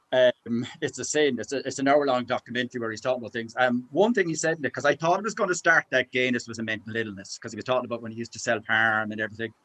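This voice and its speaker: Someone talks very fast in a Cork accent with a bright, sharp tone, big swings in loudness and hardly any pauses. The sound is dry and close, with no echo. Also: man, medium pitch for a man, ordinary pitch variation. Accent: Cork Irish. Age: 60s. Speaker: book club member. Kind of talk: casual chat. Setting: video call. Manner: animated.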